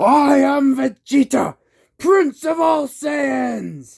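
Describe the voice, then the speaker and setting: Shouting in a put-on character voice, the speaker goes very slowly. The pitch is high. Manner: bombastic, proud.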